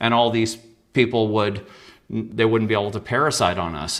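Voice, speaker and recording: A man with a plain, everyday voice, medium in pitch, at a fairly quick pace. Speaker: guest author and shadow work teacher. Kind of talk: interview presentation with slides.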